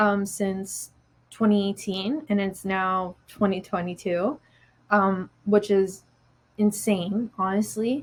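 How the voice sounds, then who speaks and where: Somewhat breathy, the voice moves at a very slow pace with fairly even intonation. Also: woman, medium pitch for a woman. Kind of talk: interview answer.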